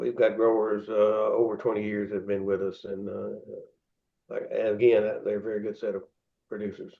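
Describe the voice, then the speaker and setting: A man at a moderate pace with a Tennessee accent. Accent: US Southern (Tennessee). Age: 70s. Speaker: pork producer CEO. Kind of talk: interview. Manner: halting, many fillers and repeats.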